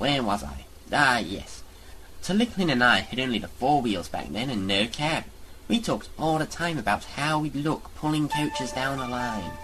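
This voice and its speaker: A put-on character voice from a man, medium in pitch and moderate in pace, against clear background noise. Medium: audio drama. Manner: genteel, storytelling.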